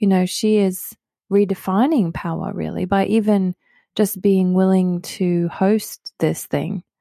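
In an Australian accent, a woman speaks at a fairly slow pace with fairly even intonation, the sound dry and close with no echo. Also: very clean recording, silent background. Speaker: pastor. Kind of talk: casual chat about scripture.

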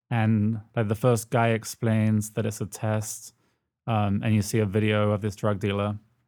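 With a British accent, a man talks at a moderate pace in a fairly low pitch. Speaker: podcast co-host. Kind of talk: casual chat. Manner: giggly, laughs often.

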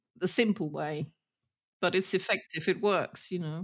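A woman with a British accent. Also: very clean recording, silent background. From Germany. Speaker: master retoucher of violins. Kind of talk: casual interview.

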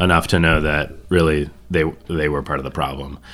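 The man's pitch is very deep and low, yet his tone is bright and sharp. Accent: Upper Midwest. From northern Michigan. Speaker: music fan, father. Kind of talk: casual chat.

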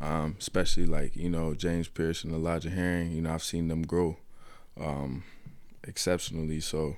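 Speaking at a moderate pace, a man has a very deep, low-pitched voice. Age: 20s. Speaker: college football linebacker. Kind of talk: interview. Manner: halting, many fillers.

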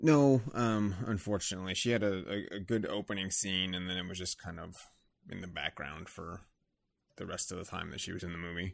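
In a very clean recording with a silent background, a man with a very deep, low pitch speaks at a fairly quick pace with ordinary pitch variation. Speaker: podcast co-host. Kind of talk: casual chat.

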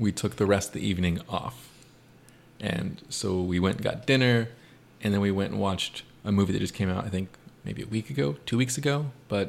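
Speaking at a fairly quick pace, a man with a plain, everyday voice uses lively intonation at a fairly low pitch. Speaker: youth group leader. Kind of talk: casual chat.

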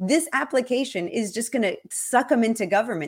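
A normal speaking voice, a woman at a fairly quick pace with ordinary pitch variation. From Cuban-American, Miami. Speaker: guest speaker on crypto and Cuba. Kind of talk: casual interview chat. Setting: video call.

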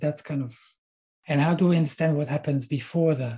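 The voice has a dark, mellow tone and an Israeli accent. The background is quiet. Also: man. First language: Hebrew. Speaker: university lecturer. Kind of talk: interview. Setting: video call.

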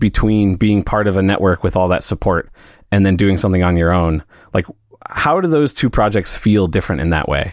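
A man's fairly low voice with a Midwestern accent at a fairly quick pace, on a very clean recording with a silent background. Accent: American Midwest. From US Midwest (St. Louis). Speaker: podcast host. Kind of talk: casual interview chat.

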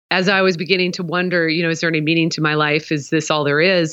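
A woman with an American accent has a plain, everyday voice, a fairly low pitch and ordinary pitch variation. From US Pacific Northwest (Portland, Oregon). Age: 40s. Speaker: apologetics professor and author. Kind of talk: interview.

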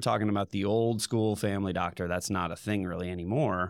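A man's fairly low voice with a Midwestern US accent and ordinary pitch variation, in a very clean recording with a silent background. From Indiana. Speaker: dentist. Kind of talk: casual interview.

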